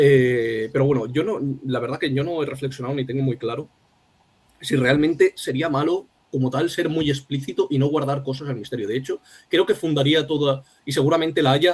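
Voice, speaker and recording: The speaker is a man talking fairly quickly. There is a somewhat breathy quality to his voice. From Spain, Alicante. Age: young. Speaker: poet. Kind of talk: interview conversation. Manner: halting.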